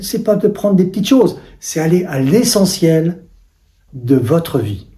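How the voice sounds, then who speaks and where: The voice is somewhat breathy, with a dark, mellow tone. It moves at a fairly slow pace with very wide pitch swings. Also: man. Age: 70s. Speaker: life coach. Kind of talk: self-promotional talk.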